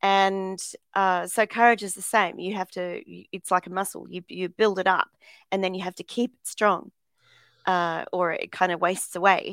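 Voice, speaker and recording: A woman talks at a moderate pace with a medium pitch and monotone, flat intonation. The recording is very clean and dry, close, with no echo and a silent background. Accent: Australian. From Australia. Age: 50s. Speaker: motivational speaker. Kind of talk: interview.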